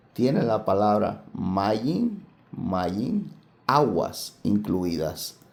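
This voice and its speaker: Soft-spoken and very slow, a man talks in a fairly low voice with a dark, mellow tone and vocal fry, with audible room echo. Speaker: Bible teacher. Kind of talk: Bible study lecture. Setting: at home, family table.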